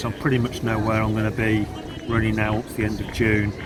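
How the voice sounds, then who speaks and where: Room echo can be heard around this male speaker. Noticeable noise also sits in the background. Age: 50s. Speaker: marathon runner. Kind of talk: interview. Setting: outdoors at a marathon event.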